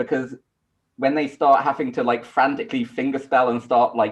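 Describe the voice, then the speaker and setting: The speaker has a British accent and a fairly quick pace. Pitch varies in an ordinary way. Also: man. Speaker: astronomy lecturer. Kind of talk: panel discussion.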